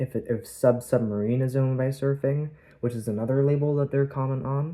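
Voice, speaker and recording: The speaker is soft-spoken and talks at a moderate pace. The recording is very clean, with a silent background. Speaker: ASMR creator. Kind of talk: ASMR collection tour. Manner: halting.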